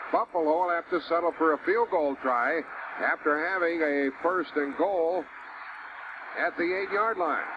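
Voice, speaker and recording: With noticeable background noise behind him, a high-pitched man speaks at a fairly slow pace with ordinary pitch variation and very even loudness. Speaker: radio play-by-play announcer. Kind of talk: live sports radio play-by-play.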